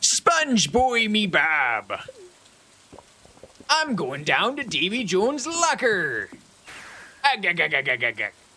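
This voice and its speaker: A man puts on a character voice, pitched high for a man. He speaks at a fairly slow pace with long, frequent pauses. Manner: pirate growl.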